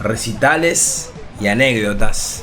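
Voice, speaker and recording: Music plays in the background as a man speaks at a very slow pace. His pitch varies in an ordinary way. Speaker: radio host. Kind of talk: radio show introduction.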